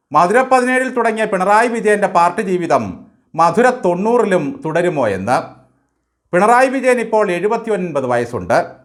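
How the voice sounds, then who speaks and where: A man speaks in a high voice with very even loudness. His intonation is lively. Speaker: political commentator. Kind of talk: scripted satirical commentary.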